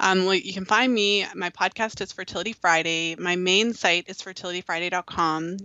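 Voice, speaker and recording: A woman speaks in a plain, everyday voice at a medium pitch. Her pace is moderate, with hardly any pauses. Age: 30s. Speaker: fertility awareness educator. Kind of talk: interview.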